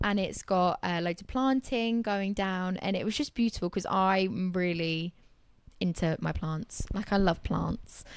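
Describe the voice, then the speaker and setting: Speaking at a fairly slow pace, a woman talks with a southern English accent. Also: medium pitch for a woman, ordinary pitch variation, very clean recording, silent background. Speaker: interior designer. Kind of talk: casual chat.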